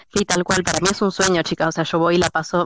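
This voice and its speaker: Fairly quick speech from a woman at a fairly low pitch, dry and close with no echo, over noticeable background noise. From Argentina. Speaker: former cleaner, kindergarten assistant. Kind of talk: casual chat.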